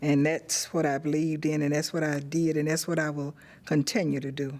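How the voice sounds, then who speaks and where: Here a woman with an Alabama accent speaks at a very deep, low pitch. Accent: Southern US (Alabama). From Birmingham, Alabama. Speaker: civil rights activist. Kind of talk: oral history interview.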